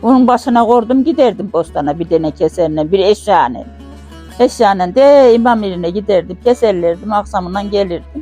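A woman talks at a moderate pace. Background music accompanies her. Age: 80s+. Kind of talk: life story interview.

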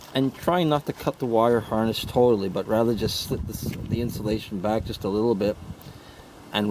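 Speech at a moderate pace over light background noise. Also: man. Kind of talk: tutorial. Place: open country.

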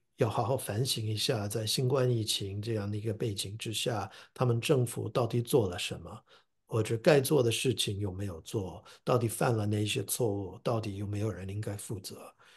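Against a quiet background, a man with an English accent speaks at a moderate pace in a fairly low, somewhat breathy voice with fairly even intonation. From US (New Jersey). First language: English (speaking Chinese). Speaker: professor and translator. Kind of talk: interview. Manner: halting with fillers and repetitions.

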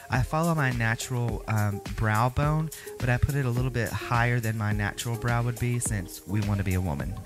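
There is clear music in the background as a man speaks, the sound dry with no echo. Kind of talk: makeup tutorial. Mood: sassy, upbeat. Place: home room.

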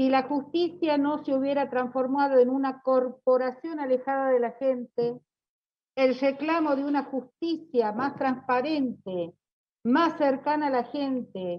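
Ordinary pitch variation and a fairly slow pace come through over a quiet background. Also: woman, high pitch for a woman. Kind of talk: parliamentary speech. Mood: firm, argumentative. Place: office. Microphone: earbuds.

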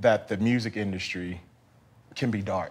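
A man talks at a moderate pace, his pitch showing ordinary variation. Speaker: talk show host. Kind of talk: interview. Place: studio.

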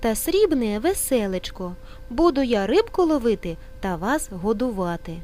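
A text is being read out. The voice sounds natural.

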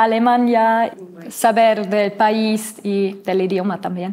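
In a German accent, a woman talks at a very slow pace with monotone, flat intonation. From Germany, Mainz; Germany. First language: German (speaking Spanish). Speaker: trainee teacher, university student; trainee teacher. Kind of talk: interview. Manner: halting, many fillers. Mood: friendly, smiling. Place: studio.

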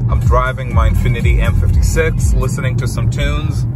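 Fairly slow pace from a man with ordinary pitch variation, music in the background, and a dry sound with no echo. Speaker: driver vlogger. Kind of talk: casual vlog chat. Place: car. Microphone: phone near.

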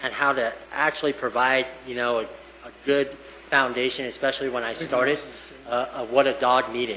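Amid noticeable background noise and audible room echo, a man talks at a moderate pace in a medium pitch with monotone, flat intonation. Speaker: police canine handler. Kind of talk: public remarks at meeting. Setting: town council meeting. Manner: loud.

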